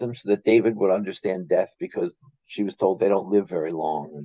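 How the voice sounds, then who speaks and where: A man with a dark, mellow tone talks at a fairly quick pace in a dry sound with no echo. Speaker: remote guest. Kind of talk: casual storytelling. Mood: amused, lighthearted. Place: home room. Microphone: video call.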